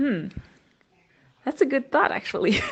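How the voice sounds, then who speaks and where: The pitch swings very widely. Vocal fry is present. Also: woman. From Germany. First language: German. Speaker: podcast host. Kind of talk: voice message chat. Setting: voice message.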